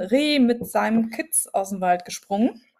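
A woman's voice at a fairly high pitch. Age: 40s. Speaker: podcast co-host. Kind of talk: casual chat.

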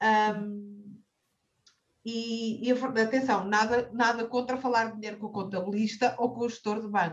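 A woman's somewhat breathy, fairly high voice, monotone and flat in intonation, at a fairly slow pace with big swings in loudness. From Portugal, Cascais. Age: 30s. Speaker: personal finance advisor. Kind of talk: interview. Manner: halting, frequent repetitions.

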